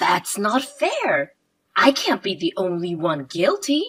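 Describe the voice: A woman puts on a character voice at a medium pitch, slow in pace, fairly bright in tone with a slightly husky edge, her pitch swinging very widely.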